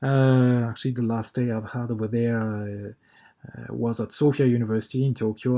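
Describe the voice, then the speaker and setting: A man's medium-pitched voice with a dark, mellow tone and a French accent, monotone and flat, at a moderate pace in a very clean recording with a silent background. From France. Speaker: university researcher. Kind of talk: conference presentation. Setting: pre-recorded video. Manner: halting, many filler words.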